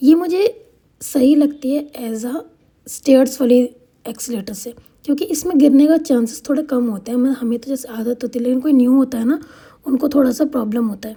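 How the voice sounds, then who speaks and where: Her voice sits high in pitch. The woman speaks at a moderate speed. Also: ordinary pitch variation, big swings in loudness. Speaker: vlogger. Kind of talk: vlog voiceover narration. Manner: casual, hesitant.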